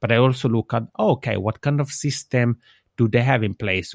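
A man with an Italian accent, medium pitch, moderate pace and fairly even intonation, on a very clean recording with a silent background and a dry, close sound with no echo. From Switzerland, Italian-speaking region. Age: 30s. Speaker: podcaster. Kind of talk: interview. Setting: internet call.

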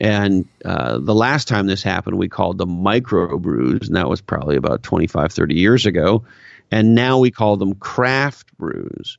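In an American accent, a man talks at a fairly low pitch with vocal fry and very wide pitch swings. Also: moderate pace. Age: 50s. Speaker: marketing executive and author. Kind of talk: casual interview chat. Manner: animated.

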